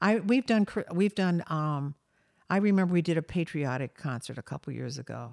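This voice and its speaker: On a very clean recording with a silent background and a dry, close sound with no echo, a woman with a normal speaking voice and an American accent talks at a moderate pace, her fairly low pitch carrying lively intonation. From US, Delaware. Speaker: choir director and music educator. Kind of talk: interview. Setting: home.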